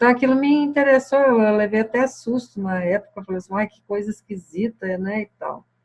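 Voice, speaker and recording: At a moderate pace and with hardly any pauses, a woman speaks in a somewhat breathy, fairly high voice with ordinary pitch variation. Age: 60s. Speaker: spiritual teacher. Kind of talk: satsang talk answering questions. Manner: hesitant, many fillers.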